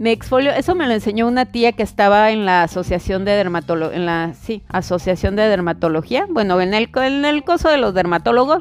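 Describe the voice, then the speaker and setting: A woman's fairly high voice with lively intonation, music in the background. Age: 30s. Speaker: health coach. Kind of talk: casual monologue.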